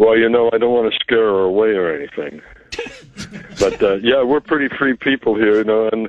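A man with a medium-pitched voice talks at a fairly quick pace. Noticeable background noise can be heard. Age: 70s. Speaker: island dweller. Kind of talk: casual phone interview. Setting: phone call.

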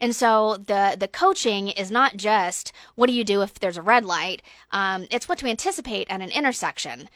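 Speaking with an American accent, this woman has a medium-pitched voice. Her pace is moderate. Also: ordinary pitch variation, very clean recording, silent background. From Georgia, US South. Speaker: refugee ministry director. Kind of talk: radio interview. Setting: radio studio.

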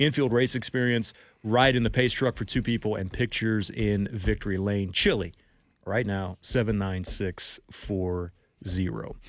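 On a very clean recording with a silent background, a man with a plain, everyday voice talks at a moderate pace with ordinary pitch variation. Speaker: radio sports talk host. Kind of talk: radio dj patter: promo read for a text-to-win giveaway, then bantering with co-host. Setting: radio studio. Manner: brisk, upbeat, promo-reading, good-natured.

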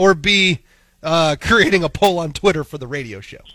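A man with an American accent speaks in a high voice, his tone bright and sharp and his intonation lively. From Missouri. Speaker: morning radio co-host. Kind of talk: casual chat. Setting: studio.

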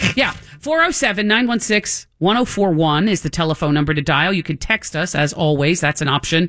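An ordinary speaking voice from a woman, fairly low in pitch, with lively intonation, very even loudness and a fairly slow pace, in a very clean recording with a silent background. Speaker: radio host. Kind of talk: casual radio talk show. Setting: radio studio.

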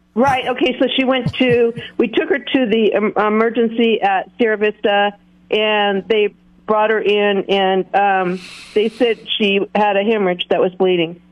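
Over noticeable background noise, a woman with a fairly high voice talks at a fairly slow pace, with ordinary pitch variation and very even loudness. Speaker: caller. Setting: phone call.

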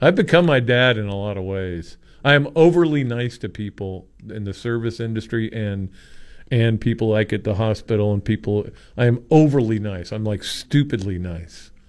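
An unremarkable speaking voice from a man, medium in pitch, at a moderate pace, with big swings in loudness. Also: ordinary pitch variation. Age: 60s. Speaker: sports columnist and radio co-host. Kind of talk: casual sports talk radio.

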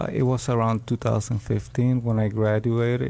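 Against noticeable background noise, a man with a Puerto Rican accent talks at a fairly slow pace. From Puerto Rico. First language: Spanish. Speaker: rescue mission program graduate. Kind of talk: testimony. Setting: radio studio.

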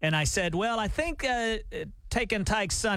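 A man with a Southern US accent speaks at a moderate pace in a bright, sharp tone. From US South. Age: middle-aged. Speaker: radio host. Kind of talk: casual chat. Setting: studio.

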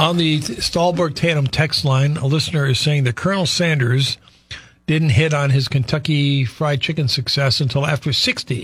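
A man's normal speaking voice, fairly high-pitched, at a moderate pace with ordinary pitch variation and very even loudness. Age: 60s. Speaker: radio talk show host. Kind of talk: casual chat. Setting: radio studio.

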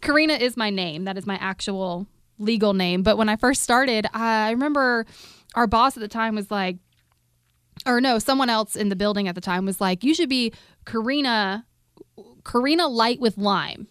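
With a plain, everyday voice, a woman speaks at a moderate pace, her fairly high pitch showing ordinary pitch variation. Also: very clean recording, silent background. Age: 30s. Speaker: radio host. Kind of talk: casual chat.

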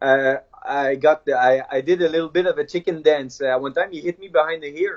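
Speaking at a moderate pace with a French accent, a man uses ordinary pitch variation. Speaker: MMA fighter. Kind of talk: interview. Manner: halting.

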